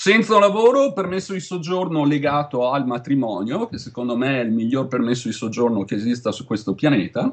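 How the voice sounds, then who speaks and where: A man speaks at a fairly quick pace with hardly any pauses, his fairly high pitch making very wide swings. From Veneto, Italy. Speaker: Italian emigrant in tech retail. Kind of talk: interview. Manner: talkative.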